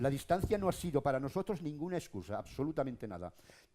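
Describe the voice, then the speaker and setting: Pitched fairly high, a man talks at a very fast pace with very wide pitch swings, a dark, mellow tone and vocal fry. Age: 60s. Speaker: local radio broadcaster. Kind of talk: panel discussion. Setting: stage with audience. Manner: animated.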